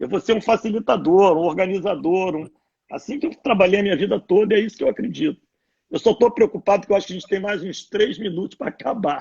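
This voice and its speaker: A man talks at a very fast pace. His pitch sits high. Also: ordinary pitch variation. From Brazil, Rio de Janeiro. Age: 60s. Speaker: former sports club executive, public figure. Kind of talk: casual chat.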